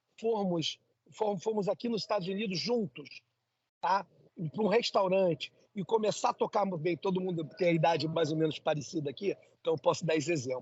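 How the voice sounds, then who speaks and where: Speaking at a moderate pace in a Brazilian accent, the man has a high pitch, ordinary pitch variation and an animated tone. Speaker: entrepreneur, immigrant. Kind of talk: interview. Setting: coffee shop.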